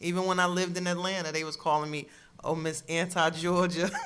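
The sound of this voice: Fairly quick and with little pitch movement, a woman talks with a fairly bright tone in an American accent. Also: fairly low pitch for a woman. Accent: New Jersey and New York urban.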